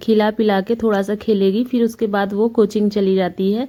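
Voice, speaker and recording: A woman speaks fairly slowly in a fairly high voice with a dark, mellow tone. Her intonation stays monotone and flat. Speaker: family vlogger, housewife doing tailoring. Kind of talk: tutorial vlog voice-over. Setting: home, late-night voice-over. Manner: casual, conversational.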